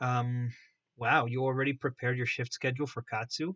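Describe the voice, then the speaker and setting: Here a man with a non-native accent talks at a moderate pace in an animated tone and a medium pitch. The sound is dry and close, with no echo. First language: not English. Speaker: miniature painting streamer. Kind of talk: live stream painting tutorial with chat. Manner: casual, animated.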